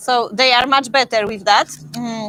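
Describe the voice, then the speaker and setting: A Polish accent comes through with ordinary pitch variation. The tone is bright and sharp, with a dry, close sound and no echo. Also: woman. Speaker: dog breeder. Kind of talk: live stream Q&A. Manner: halting, many fillers.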